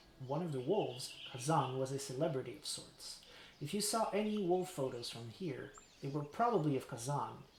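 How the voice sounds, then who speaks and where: Lively intonation marks this man's fairly high voice, delivered at a moderate pace. Audible room echo surrounds him. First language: French. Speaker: streamer. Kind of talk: live game stream reading aloud. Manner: animated.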